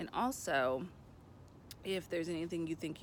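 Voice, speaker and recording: The speaker uses ordinary pitch variation and a voice with vocal fry. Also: woman. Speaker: life coach and author. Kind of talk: casual vlog update. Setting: outdoors by a pool.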